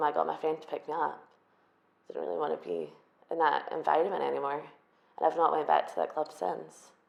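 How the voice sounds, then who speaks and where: This woman speaks in an Edinburgh accent. Her pace is fairly quick. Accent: Scottish (Edinburgh). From Scotland, Edinburgh. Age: 20s. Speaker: hairdresser, documentary interviewee. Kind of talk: testimony.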